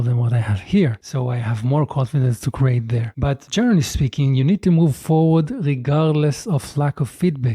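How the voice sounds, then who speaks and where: A fairly high-pitched man with a non-native accent, recorded dry and close with no echo. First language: not English. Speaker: content creator. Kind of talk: casual talk to camera.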